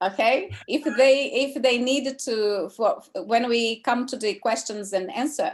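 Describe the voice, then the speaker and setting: A high-pitched woman with a Portuguese accent, lively intonation and a fairly slow pace. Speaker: teacher hosting an online class. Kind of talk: casual chat. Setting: video call.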